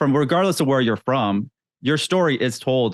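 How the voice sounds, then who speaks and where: A man's normal speaking voice at medium pitch, fairly quick, with lively intonation. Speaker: interviewer. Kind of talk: interview questions.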